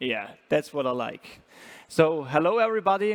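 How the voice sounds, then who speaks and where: With an Austrian accent, a man speaks at a moderate pace and fairly high pitch in a dry, close sound with no echo. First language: German. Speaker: startup founder and CEO. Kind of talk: startup pitch presentation.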